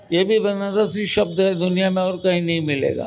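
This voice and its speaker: Noticeable background noise under a man speaking at a high pitch. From Varanasi, north India. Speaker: senior journalist. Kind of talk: interview.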